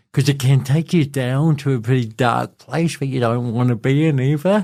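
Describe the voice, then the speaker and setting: Speaking in a New Zealand accent, a man has a dark, mellow tone. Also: medium pitch for a man, ordinary pitch variation, moderate pace. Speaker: inspirational speaker. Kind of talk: casual interview conversation.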